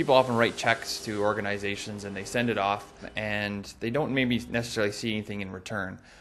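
Using a fairly bright tone, a man speaks at a fairly quick pace with a fairly low pitch and fairly even intonation.

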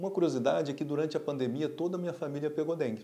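The man's pitch is fairly high, with ordinary variation. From Brazil. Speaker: pediatrician and pulmonologist doctor. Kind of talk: health explainer video. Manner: casual, conversational. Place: office. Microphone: lapel.

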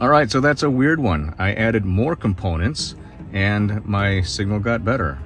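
A man is talking. The sound is dry with no echo, and clear music plays in the background. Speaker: ham radio operator. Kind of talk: casual vlog chat. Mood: puzzled. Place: car. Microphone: phone near.

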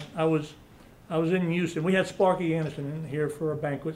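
Over light background noise, a man talks at a moderate pace and high pitch in a flat monotone. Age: 60s. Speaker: college baseball coach. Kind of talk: press conference. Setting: press conference room with media. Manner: halting. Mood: warm, reminiscent. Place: meeting room.

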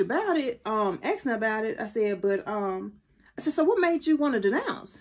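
In a quiet setting, a woman talks at a moderate pace with a high pitch and very wide pitch swings. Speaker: faith vlogger. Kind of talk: casual vlog chat. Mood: warm, animated storytelling. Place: home room. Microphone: phone near.

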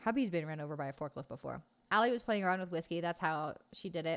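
Very fast and animated, a woman with an American accent speaks at a fairly low pitch with lively intonation. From US, Oklahoma. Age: 20s. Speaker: gaming streamer. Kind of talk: casual chat with live chat viewers. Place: home room. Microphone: studio mic.

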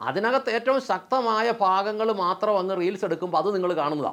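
A man talks with lively intonation, the background around him quiet. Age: 50s. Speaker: YouTube political commentator. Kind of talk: monologue to camera. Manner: impassioned.

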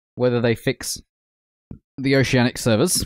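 An Australian accent in a dry sound with no echo and a quiet background. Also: man. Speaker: gaming streamer. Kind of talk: casual chat. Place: home room. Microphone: studio mic.

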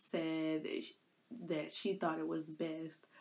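A woman speaks at a very slow pace. Her pitch sits fairly low. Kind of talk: casual vlog storytelling. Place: home room. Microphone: phone near.

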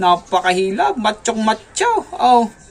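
Fairly slow speech is heard through noticeable background noise. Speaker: pigeon breeder YouTuber. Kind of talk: casual vlog tutorial.

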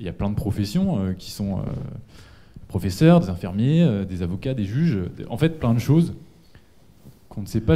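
Lively in intonation, a man's fairly low, dark, mellow voice moves at a moderate pace. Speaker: audience member. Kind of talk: audience question. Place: hall. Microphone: handheld.

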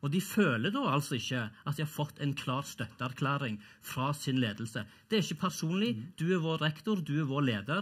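Against a quiet background, a man with a fairly high pitch speaks at a fairly quick pace, somewhat breathy and with lively intonation. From Norway. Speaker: professor. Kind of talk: panel debate. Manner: halting, repeats words. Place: stage. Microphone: headset.

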